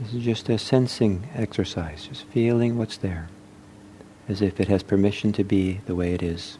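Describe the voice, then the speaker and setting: This man's voice is fairly low and somewhat breathy. He keeps a moderate pace with ordinary pitch variation. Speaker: meditation teacher. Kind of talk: guided meditation, body scan with a short teaching intro. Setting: talk given at a meditation center.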